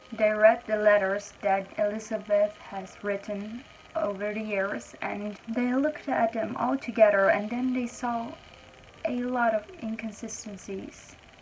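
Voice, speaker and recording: The pace is fairly slow, with ordinary pitch variation. Noticeable background noise can be heard. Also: woman, fairly high pitch for a woman. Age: young. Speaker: YouTuber. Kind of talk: storytelling narration. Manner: casual.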